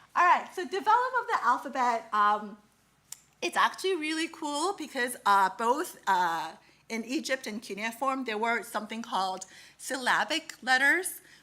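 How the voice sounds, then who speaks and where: Her tone is bright and sharp as the woman speaks at a fairly high pitch and a moderate pace. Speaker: lecturer on ancient history. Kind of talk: lecture. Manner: halting.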